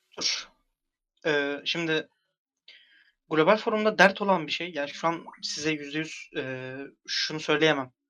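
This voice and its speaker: A man's bright, sharp tone at a fairly slow pace, with ordinary pitch variation and long, frequent pauses. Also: fairly high pitch for a man. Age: 20s. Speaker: forum moderator. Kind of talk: casual chat.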